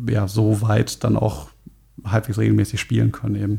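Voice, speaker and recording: A man talks at a moderate pace. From Germany, Frankfurt. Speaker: metal bassist. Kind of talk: podcast interview.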